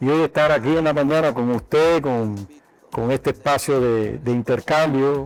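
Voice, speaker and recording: The speaker has a normal speaking voice with ordinary pitch variation. The delivery is fairly slow, with very even loudness. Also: man, fairly high pitch for a man. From Cuba, Madruga near Havana. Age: 60s. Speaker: doctor and university health sciences director. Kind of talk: interview.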